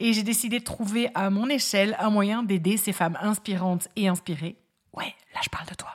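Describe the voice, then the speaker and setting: A woman's somewhat breathy, medium-pitched voice at a moderate pace, with ordinary pitch variation. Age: 30s. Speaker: podcast host, lawyer and fabric craft maker. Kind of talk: solo podcast monologue, casual and friendly. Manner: upbeat, warm.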